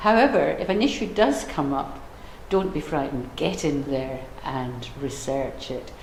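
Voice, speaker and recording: A woman with a Scottish accent and a very deep, low voice speaks at a moderate pace, with audible room echo and noticeable background noise. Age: old. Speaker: older person sharing views. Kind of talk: testimony.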